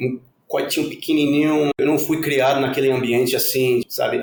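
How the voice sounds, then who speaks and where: The speaker talks at a moderate pace. The delivery comes in a Spanish accent. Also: man. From Puerto Rico. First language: Spanish (speaking Portuguese). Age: 40s. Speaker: former exchange student, community participant. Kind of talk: podcast interview.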